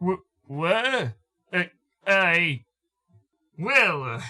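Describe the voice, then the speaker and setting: A man in a put-on character voice, high-pitched. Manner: hesitant, stammering.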